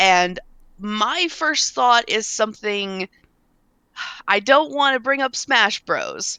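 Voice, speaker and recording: Speaking very slowly with long, frequent pauses, a woman has a bright, sharp tone and lively intonation, recorded dry and close with no echo. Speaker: podcast host. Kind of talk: casual chat. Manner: halting.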